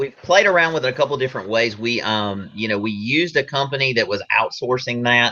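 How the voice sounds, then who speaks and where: In a Southern US accent, a man at a medium pitch talks with hardly any pauses and ordinary pitch variation. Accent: Southern drawl. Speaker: real estate team partner. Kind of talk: casual interview.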